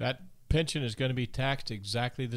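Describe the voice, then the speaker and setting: On a very clean recording with a silent background, an ordinary speaking voice shows ordinary pitch variation. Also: man. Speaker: financial advisor. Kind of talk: radio talk show. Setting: studio.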